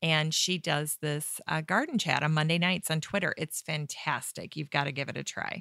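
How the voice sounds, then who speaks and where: In an American accent, a woman with a very deep, low pitch and a bright, sharp tone talks at a moderate pace with fairly even intonation and hardly any pauses, the sound dry and close with no echo on a very clean recording with a silent background. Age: 40s. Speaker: gardening podcast host. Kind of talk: casual interview.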